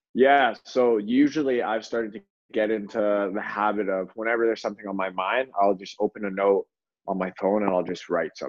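Fairly quick delivery in a normal speaking voice, fairly even intonation, with a Canadian accent. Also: man, fairly low pitch for a man. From Canada (Toronto). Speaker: professional soccer player. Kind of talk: casual chat. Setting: video call.

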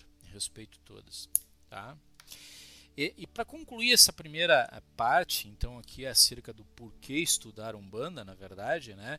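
With music in the background, a man speaks fairly slowly at a fairly high pitch. His voice has very wide pitch swings and big swings in loudness. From Rio Grande do Sul, Brazil (Cruz Alta). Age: 40s. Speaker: religious teacher. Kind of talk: lecture. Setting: Facebook live stream.

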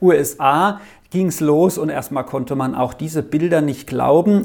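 A man at a fairly slow pace with very wide pitch swings, on a very clean recording over a silent background. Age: 50s. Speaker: lay preacher. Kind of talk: sermon.

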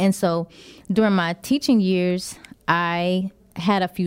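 A woman with a plain, everyday voice and an American accent speaks at a medium pitch, at a fairly slow pace and with fairly even intonation, in a very clean recording with a silent background. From Texas, San Antonio. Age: 30s. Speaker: personal trainer and new show host. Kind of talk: radio interview. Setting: radio studio.

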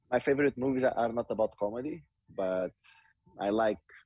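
The speaker talks fairly quickly in a Portuguese accent. Pitch varies in an ordinary way. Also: man. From Portugal. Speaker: professional footballer. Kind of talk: interview.

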